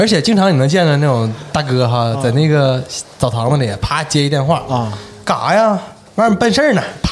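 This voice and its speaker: A man's fairly high voice with very wide pitch swings and very even loudness, at a moderate pace over noticeable background noise. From Jiamusi, Heilongjiang. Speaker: guest panelist. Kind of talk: casual chat.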